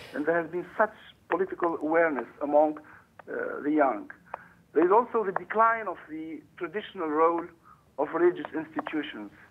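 A man with a high voice speaks at a moderate pace with ordinary pitch variation over light background noise. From Tunisia. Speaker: English professor; academic guest commentator. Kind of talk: interview. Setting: phone call.

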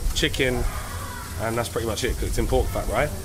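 A man with a British accent, with faint music in the background. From UK. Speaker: food guide. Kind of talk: casual chat. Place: street. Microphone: camera far.

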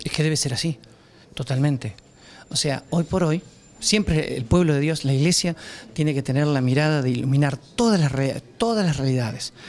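A man talks at a moderate pace with a Rioplatense accent. His pitch is fairly high, with ordinary pitch variation. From Argentina, Quequén (Buenos Aires province). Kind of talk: news interview. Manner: halting, with fillers and repetitions.

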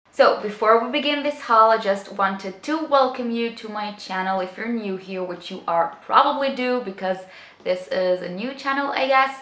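Upbeat in tone, the speaker talks at a moderate pace with lively intonation and big swings in loudness, with audible room echo. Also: woman, fairly high pitch for a woman. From Israel. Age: 20s. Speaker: beauty vlogger. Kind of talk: casual talk to camera. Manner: upbeat, chatty. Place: home room.

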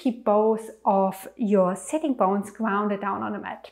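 A woman's fairly slow delivery over a quiet background. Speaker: yoga instructor. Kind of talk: tutorial. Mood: calm, gentle. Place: home room.

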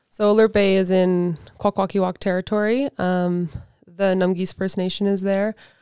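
A woman with a Canadian accent speaks at a moderate pace in a medium pitch, her tone dark and mellow and her intonation monotone and flat. The sound is dry with no echo over a quiet background. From western Canada. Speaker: professional snowboarder. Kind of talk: casual interview. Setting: studio. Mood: relaxed, fond. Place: studio. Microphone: studio mic.

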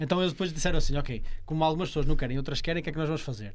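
This is a man with an ordinary speaking voice. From Portugal. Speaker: podcast host. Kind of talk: casual chat. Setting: studio. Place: studio. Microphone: studio mic.

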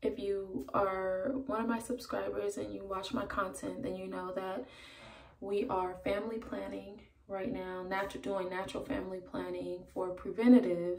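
A woman talks quietly at a moderate pace with ordinary pitch variation. Light background noise and audible room echo are present. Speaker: parenting vlogger. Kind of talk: casual vlog. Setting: at home. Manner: hesitant, many ums. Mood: calm, a bit nervous. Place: bathroom. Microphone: phone near.

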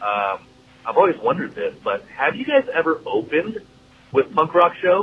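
Over light background noise, a man with an American accent speaks at a moderate pace. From US Pacific Northwest. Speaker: listener leaving voicemail; podcast host reading listener message. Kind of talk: voicemail message. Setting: phone call. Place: studio.

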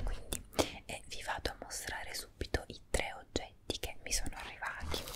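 A woman is whispering. Her pace is moderate. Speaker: beauty vlogger. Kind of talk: casual product review vlog. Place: home room. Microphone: earbuds.

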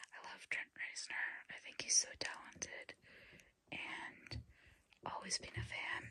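The voice is whispering. It moves at a fairly slow pace. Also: woman. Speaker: ASMR creator and hobbyist keyboard learner. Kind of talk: ASMR ramble to camera. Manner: whispered, soft-spoken, slow. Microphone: phone near.

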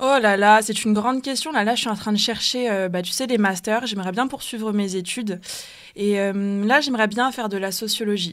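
A normal speaking voice comes at a moderate pace. Its pitch variation is ordinary. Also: woman, fairly high pitch for a woman. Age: 20s. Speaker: anti-racism activist and student. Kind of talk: radio panel debate.

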